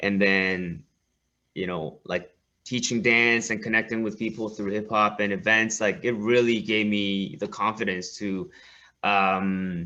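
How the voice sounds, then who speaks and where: Over a quiet background, a man with a Korean accent speaks at a fairly slow pace and a fairly low pitch, with a bright, sharp tone and fairly even intonation. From South Korea. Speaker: hip-hop school co-founder, dance teacher. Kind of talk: interview conversation.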